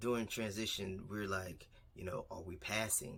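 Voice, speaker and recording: Soft-spoken, a man talks at a fairly slow pace. His tone is bright and sharp. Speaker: vlogger. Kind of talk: casual vlog monologue. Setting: alone in a quiet room. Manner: speaking a little louder than usual.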